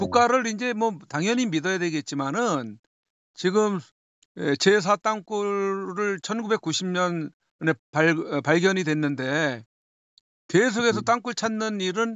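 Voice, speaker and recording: The speaker is a man with a high voice for a man. He speaks at a very slow pace. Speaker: tunnel investigator. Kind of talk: interview.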